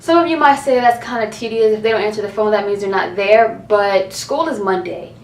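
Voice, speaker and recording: Against noticeable background noise, a woman talks at a very fast pace with a medium pitch. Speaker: college student youtuber. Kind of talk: casual rant to camera.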